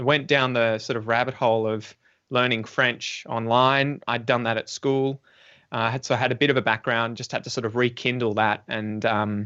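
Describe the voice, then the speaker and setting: Here a man speaks at a medium pitch and a moderate pace. His intonation is monotone and flat. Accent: Australian. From Australia. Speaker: English teacher and podcaster. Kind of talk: casual chat. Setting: podcast recording, live-streamed.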